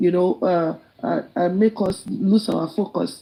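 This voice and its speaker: A woman speaks with a Nigerian accent and a dark, mellow, somewhat breathy tone. Her pitch varies in an ordinary way. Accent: Nigerian (Yoruba) English. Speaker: live stream participant. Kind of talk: impassioned speech in live group chat. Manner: halting.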